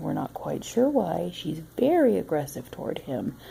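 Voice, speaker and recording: Soft-spoken, the voice moves at a fairly slow pace. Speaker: pet owner vlogger. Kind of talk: casual home video narration. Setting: at home, dogs on her lap. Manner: quiet, soft-spoken.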